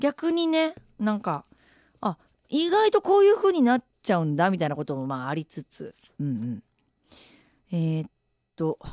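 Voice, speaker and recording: On a very clean recording with a silent background, a woman with a fairly high pitch speaks in an animated tone, her pitch swinging very widely between long, frequent pauses. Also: moderate pace, dry, close sound with no echo. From Japan, Shimane. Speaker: radio DJ and musician. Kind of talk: casual radio after-talk reading listener messages. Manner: animated, laughs often.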